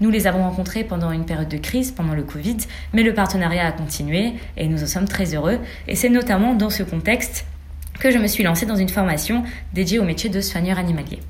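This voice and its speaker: A woman with a medium pitch speaks very fast, with long, frequent pauses and ordinary pitch variation. Audible room echo and noticeable background noise are present. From Senegal. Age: 20s. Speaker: student. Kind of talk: interview.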